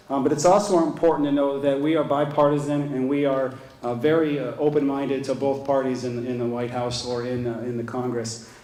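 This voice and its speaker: Here a man talks with an American accent and fairly even intonation. Audible room echo and noticeable background noise are present. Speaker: trade association chief executive. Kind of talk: conference keynote speech. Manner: fast.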